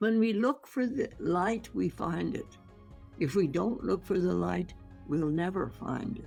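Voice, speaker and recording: Background music accompanies a woman's voice. Her delivery is fairly slow. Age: 80s+. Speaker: holistic physician.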